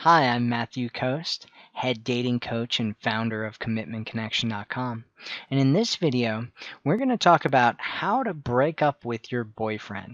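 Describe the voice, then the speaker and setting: The dry recording has no echo as a man talks at a moderate pace with ordinary pitch variation. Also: quiet background. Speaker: dating coach. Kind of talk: advice talk to camera. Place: home room. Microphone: headset.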